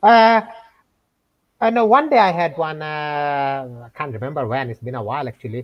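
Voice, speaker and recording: Moderate pace, very wide pitch swings and big swings in loudness, in a Bengali accent. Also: man, fairly high pitch for a man. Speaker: scam baiter. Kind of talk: casual chat. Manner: hesitant, many fillers.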